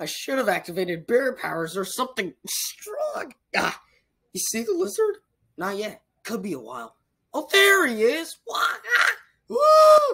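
Shouting in a cartoonish character voice, the man hits an extremely high pitch. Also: fairly slow pace. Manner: excited, energetic.

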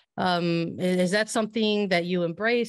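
A woman has an unremarkable speaking voice with a fairly low pitch and ordinary pitch variation. The sound is dry with no echo against a quiet background. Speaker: soccer podcast host and sports writer. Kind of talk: interview. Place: home room. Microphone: studio mic.

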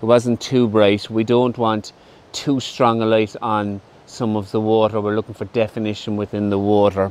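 At a moderate pace, a man speaks in a fairly low, monotone voice with flat intonation, and the sound is dry with no echo. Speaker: photography vlogger. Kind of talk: casual vlog chat. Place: forest.

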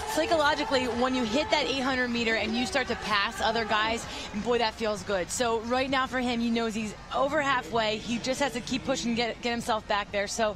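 Against noticeable background noise, a woman speaks at a fairly quick pace in a fairly high pitch. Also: ordinary pitch variation. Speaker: color commentator. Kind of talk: live sports commentary. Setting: broadcast booth. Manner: explanatory, conversational analysis.

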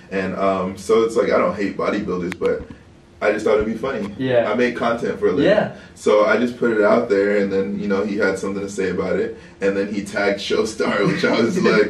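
A man at a fairly quick pace, with light background noise and audible room echo. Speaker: interview guest. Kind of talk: interview answer. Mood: relaxed, laughing at times. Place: home room.

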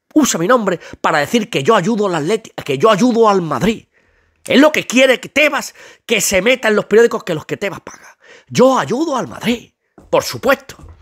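A man speaks at a moderate pace in a high pitch with lively intonation and an animated tone. The sound is dry and close with no echo. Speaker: football youtuber. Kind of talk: comedic rant.

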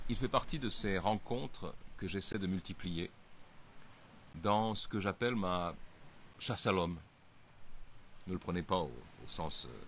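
With vocal fry and a very deep, low pitch, a man speaks at a very slow pace with ordinary pitch variation and long, frequent pauses. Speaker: editor and political commentator. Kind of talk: solo video briefing. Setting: outdoors by the sea. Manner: speaking loudly.

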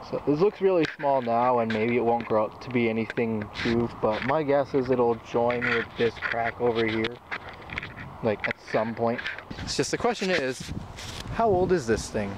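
Loud background noise surrounds a man talking at a moderate pace, the sound dry with no echo. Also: ordinary pitch variation. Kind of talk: casual vlog commentary. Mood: curious, relaxed. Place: open country. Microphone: phone near.

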